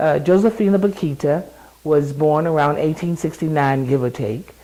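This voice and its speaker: Pitch rises and falls in an ordinary way. Delivery keeps a moderate pace. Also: woman, very deep, low pitch for a woman. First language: sign language. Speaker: lay preacher. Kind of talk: interview reflection. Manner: halting.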